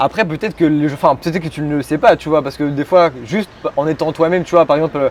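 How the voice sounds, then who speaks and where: Very fast speech from a man at fairly high pitch with ordinary pitch variation. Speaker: podcast host. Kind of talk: interview questions.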